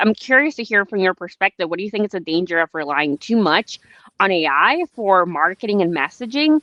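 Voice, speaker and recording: At a fairly quick pace, a woman talks in a medium-pitched voice. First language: not English. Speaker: podcast host. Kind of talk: interview. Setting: livestream video call. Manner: casual, hesitant with fillers.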